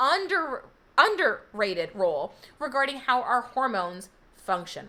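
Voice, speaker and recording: A woman with a high pitch projects a raised voice in a bright, sharp tone. Her pitch swings very widely. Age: 40s. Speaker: health coach. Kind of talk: live stream sales pitch. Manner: loud.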